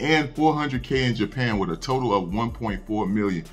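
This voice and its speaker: A man speaks with faint music in the background. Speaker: anime news youtuber. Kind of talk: casual news commentary. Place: home room. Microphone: studio mic.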